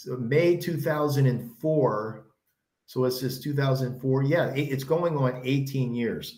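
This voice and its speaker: Speaking at a very slow pace, a man with a medium pitch and a dark, mellow, somewhat breathy tone is heard over audible room echo. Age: 60s. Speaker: kettlebell coach and former powerlifter. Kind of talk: casual chat.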